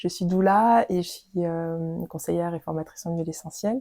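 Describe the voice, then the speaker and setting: Speaking at a fairly slow pace, a woman uses a fairly low pitch and a dark, mellow tone. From Dordogne, southwestern France. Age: 30s. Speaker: doula. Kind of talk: interview. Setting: at home. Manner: halting, many fillers and repetitions.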